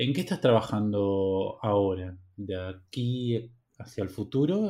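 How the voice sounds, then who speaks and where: A man talks at a fairly slow pace in a fairly low pitch with a dark, mellow tone and ordinary pitch variation. The recording is very clean, with a silent background. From Argentina, Buenos Aires. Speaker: podcast host. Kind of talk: interview.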